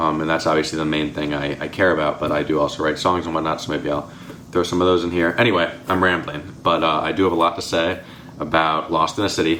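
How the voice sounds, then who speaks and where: A man's very deep, low voice at a very fast pace, monotone and flat, with noticeable background noise. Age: young. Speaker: book reviewer. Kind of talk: casual chat. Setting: at home.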